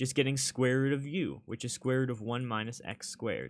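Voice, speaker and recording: A man at a medium pitch. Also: very clean recording, silent background. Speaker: tutor. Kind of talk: tutorial.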